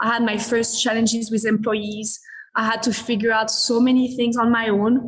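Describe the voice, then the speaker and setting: A woman with a French accent talks at a moderate pace and a fairly high pitch. Her intonation is monotone and flat, her loudness very even, and there is audible room echo. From France, Paris. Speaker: business executive. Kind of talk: interview conversation.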